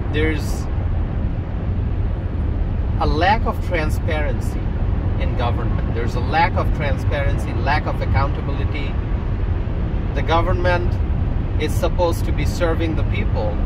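At a moderate pace, a man talks with long, frequent pauses over loud background noise. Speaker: political commentator. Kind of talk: commentary. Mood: earnest, concerned. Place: car.

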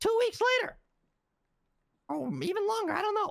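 A put-on character voice at an extremely high pitch, delivered at a moderate pace. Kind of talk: heated meeting speech. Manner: indignant, storytelling, exasperated.

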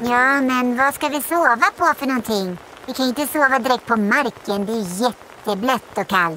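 A female-sounding voice puts on a high-pitched character voice. Clear background noise is heard throughout. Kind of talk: dramatized children's audiobook.

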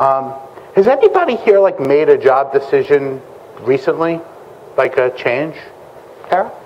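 The intonation is lively and the pace moderate. Light background noise can be heard. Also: man. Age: 40s. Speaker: security recruiter and panel moderator; presenter. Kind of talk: conference panel discussion; talk to an audience. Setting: conference stage with audience. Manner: casual, many filler words. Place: meeting room.

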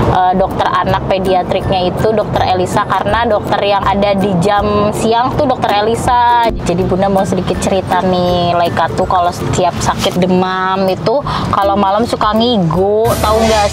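A woman talks at a moderate pace while music plays behind her. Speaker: family vlogger. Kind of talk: casual vlog chat. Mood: concerned but chatty. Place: car.

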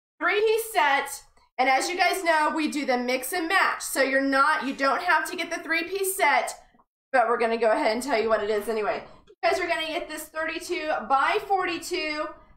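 A woman's high voice at a moderate pace, amid audible room echo. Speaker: shop host. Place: studio.

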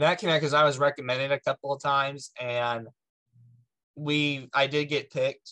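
With a quiet background behind him, a man talks in a monotone, flat intonation. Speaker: podcast guest. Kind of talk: interview answer. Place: home room. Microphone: video call.

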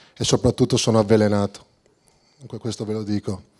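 Dark and mellow, the tone carries through. Nothing stirs in the background. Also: man. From Veneto, Italy. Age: 30s. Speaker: football coach. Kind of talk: press conference. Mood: determined, confident. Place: hall. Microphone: handheld.

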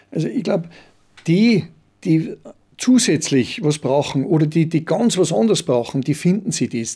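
A fairly high-pitched man's voice, dark and mellow, at a moderate pace. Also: quiet background. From Austria, Salzburg (Pongau, Werfen); Austria. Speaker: business coach and brass band chairman; business coach. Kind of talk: casual chat. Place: studio. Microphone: studio mic.

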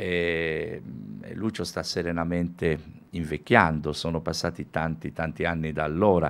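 A man speaks with a very deep, low pitch. His intonation stays monotone and flat. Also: fairly slow pace. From Sardinia, Alghero; Sardinia. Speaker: musician and music teacher; music teacher. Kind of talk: radio interview. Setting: radio studio, also televised. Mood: calm, nostalgic. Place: studio. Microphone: studio mic.

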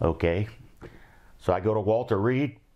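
A man with an Ohio accent speaks over a quiet background. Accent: Midwestern American (Ohio). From Cincinnati, Ohio. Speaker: war veteran. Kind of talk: oral history interview. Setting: recorded interview with cameraman. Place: home room. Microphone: lapel.

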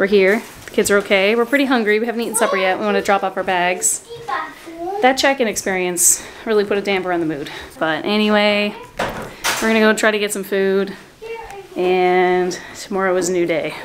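Noticeable background noise surrounds a woman's voice. She talks at a fairly quick pace with ordinary pitch variation. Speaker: family travel vlogger. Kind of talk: casual vlog chat. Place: home room. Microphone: phone near.

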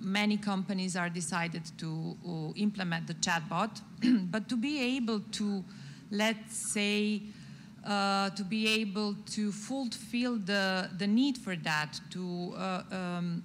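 A woman's somewhat breathy voice at a fairly slow pace, ordinary pitch variation, and light background noise. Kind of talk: interview answer. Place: stage. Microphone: handheld.

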